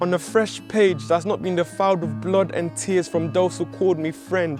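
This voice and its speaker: Music plays in the background as a man speaks at a moderate pace. His voice is high, with ordinary pitch variation. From Nigeria. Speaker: spoken word poet. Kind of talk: spoken word poetry performance.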